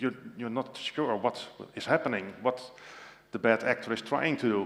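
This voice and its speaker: This man speaks with a Dutch accent at a medium pitch. His intonation is fairly even and his pace moderate. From Netherlands. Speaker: tech sales specialist. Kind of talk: conference presentation. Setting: stage with audience. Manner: halting, many fillers.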